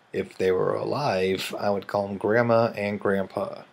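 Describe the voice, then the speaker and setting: A man speaks in an American accent while noticeable background noise carries on around him. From US Midwest, Kansas City. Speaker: vlogger. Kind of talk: accent challenge video. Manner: slow, deliberate word reading.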